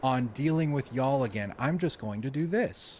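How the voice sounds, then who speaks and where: In an American accent, a man speaks at a medium pitch with very wide pitch swings. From US South. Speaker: streamer. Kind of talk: casual chat. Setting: livestream.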